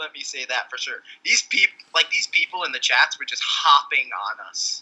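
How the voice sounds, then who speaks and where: A man is speaking here. His pace is moderate. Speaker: podcast host. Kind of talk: casual chat.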